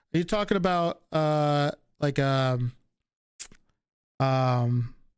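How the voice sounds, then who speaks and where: A man with a slight Northeastern US accent speaks at a fairly high pitch with ordinary pitch variation. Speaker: livestreamer. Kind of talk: casual chat.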